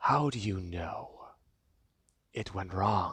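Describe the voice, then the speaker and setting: Low and raspy, the voice is a put-on character voice. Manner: menacing, hissing.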